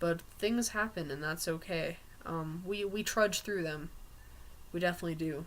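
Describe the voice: This man talks at a moderate pace in a fairly high, fairly bright voice with ordinary pitch variation.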